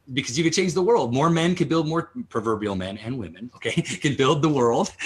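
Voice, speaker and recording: Over noticeable background noise, a man talks with a fairly high pitch and lively intonation. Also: fairly quick pace. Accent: American. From Utah. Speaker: entrepreneur. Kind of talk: interview. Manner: loud; fast.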